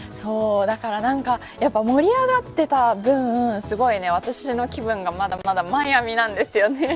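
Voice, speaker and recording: Music plays in the background as a woman talks with hardly any pauses. Her pitch is fairly high and varies in an ordinary way. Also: moderate pace. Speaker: weather news presenter. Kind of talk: casual talk on live stream.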